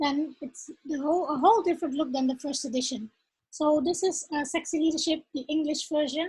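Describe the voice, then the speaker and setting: Talking at a fairly quick pace in a Dutch accent, a woman uses a high voice with ordinary pitch variation. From Netherlands. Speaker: author and leadership coach. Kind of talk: casual talk to camera. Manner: halting, many fillers.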